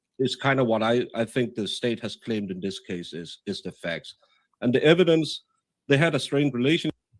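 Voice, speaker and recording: With a Danish accent, a man of medium pitch speaks at a moderate pace and with lively intonation, in a dry, close sound with no echo. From Denmark. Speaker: podcast host. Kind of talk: live stream discussion. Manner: halting.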